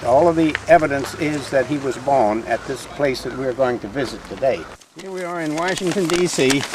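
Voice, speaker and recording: Over noticeable background noise, a man talks at a moderate pace. His pitch is fairly high and varies in an ordinary way. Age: 80s+. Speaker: local historian guide. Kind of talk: guided tour talk to children.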